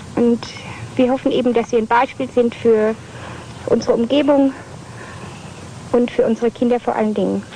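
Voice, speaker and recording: A woman talks at a fairly quick pace in a high, flat, monotone voice with very even loudness. Her long pauses come often, and background noise is noticeable. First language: German. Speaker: interviewee, parent. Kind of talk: interview.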